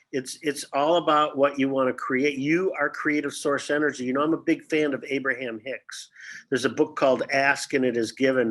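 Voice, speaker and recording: The speaker has a plain, everyday voice with an American accent and fairly even intonation. The pace is moderate, and the background is quiet. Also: man. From Detroit, US Midwest. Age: 60s. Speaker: actor. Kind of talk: casual chat.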